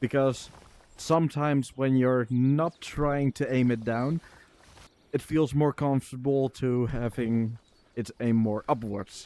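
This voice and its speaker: A man with a Dutch accent, medium pitch and a dark, mellow tone, at a fairly slow pace with fairly even intonation and very even loudness. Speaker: game streamer and coach. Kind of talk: casual coaching chat. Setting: VR game live stream. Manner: halting, many filler words.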